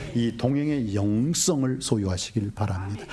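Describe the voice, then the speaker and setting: Animated man's voice against noticeable background noise. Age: 60s. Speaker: pastor. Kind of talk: sermon.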